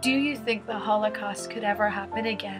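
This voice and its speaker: A woman speaks at a fairly quick pace with medium pitch and ordinary pitch variation. Music plays in the background. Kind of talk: casual talk to camera, retelling a story.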